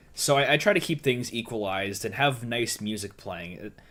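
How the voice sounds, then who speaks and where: This man has a bright, sharp tone, a medium pitch, and lively intonation. He speaks at a moderate pace on a very clean recording with a silent background. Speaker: YouTuber streamer. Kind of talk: live stream chat. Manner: soft-spoken; energetic.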